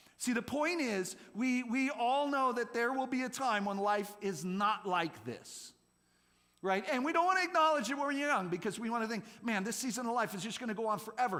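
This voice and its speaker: Amid audible room echo and noticeable background noise, a man with an extremely high pitch speaks in a raised, projected voice, animated in tone with lively intonation at a fairly quick pace. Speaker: youth pastor. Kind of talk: sermon. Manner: fast.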